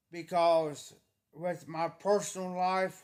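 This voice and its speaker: Loud, monotone speech with flat intonation comes through on a very clean recording with a silent background. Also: man. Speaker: livestreamer. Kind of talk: casual chat. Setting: livestream.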